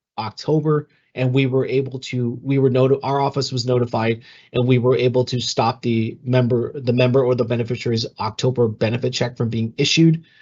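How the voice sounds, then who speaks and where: Monotone, flat intonation at a fairly quick pace, somewhat breathy, over a quiet background. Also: man. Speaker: communications analyst for a retirement system. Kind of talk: webinar Q&A. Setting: online webinar. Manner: fast; hesitant, many fillers.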